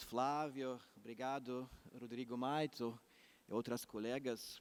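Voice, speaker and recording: Speaking with a non-native accent, a man holds a medium pitch and fairly even intonation. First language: not Portuguese (speaking Portuguese). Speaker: law professor. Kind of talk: conference talk.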